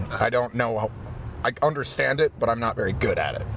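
Noticeable background noise fills the clip. Over it, a man rattles off his words at a very fast pace. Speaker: punk musician. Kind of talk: interview. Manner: direct.

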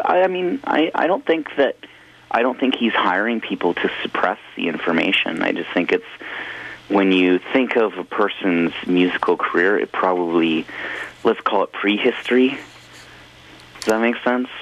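The pitch swings very widely at a moderate pace, broken by long, frequent pauses. Noticeable background noise runs underneath. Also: man, medium pitch for a man. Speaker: musician. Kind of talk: casual interview. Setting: phone call.

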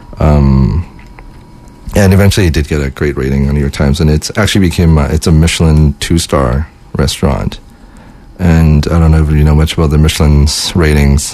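A man with a very deep, low pitch talks at a fairly quick pace, his intonation fairly even and his loudness very even, over noticeable background noise. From Winnipeg, Canada. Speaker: guest co-host, local music organizer. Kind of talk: casual chat. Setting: studio.

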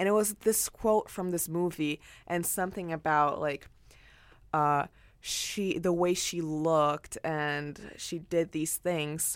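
On a very clean recording with a silent background, a woman talks at a very slow pace with a fairly low pitch and fairly even intonation. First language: not English. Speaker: university student arts correspondent. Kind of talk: casual review chat.

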